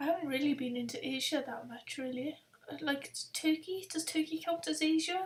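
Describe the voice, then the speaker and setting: A high-pitched woman in a strong Welsh accent, with ordinary pitch variation and a moderate pace, over noticeable background noise. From Wales. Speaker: travel vlogger. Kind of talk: live stream chat. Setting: webcam live stream. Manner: casual, hesitant.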